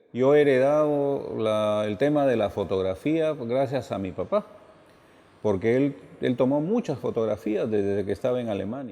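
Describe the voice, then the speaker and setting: Here a man talks at a moderate pace with a dark, mellow tone. His intonation is lively. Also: medium pitch for a man. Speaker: photographer. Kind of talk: documentary interview.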